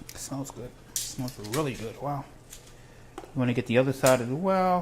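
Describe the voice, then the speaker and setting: A man talks in a medium pitch with big swings in loudness and an unremarkable speaking voice. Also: ordinary pitch variation, moderate pace. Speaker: cooking show host. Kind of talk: cooking tutorial. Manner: casual, rambling with fillers.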